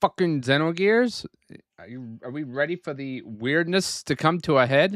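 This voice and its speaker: With a Northeastern US accent, a man speaks at a fairly high pitch with lively intonation and big swings in loudness, on a very clean recording with a silent background. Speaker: gaming streamer. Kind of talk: live gameplay stream chat. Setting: home room, live stream. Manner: casual, halting with fillers.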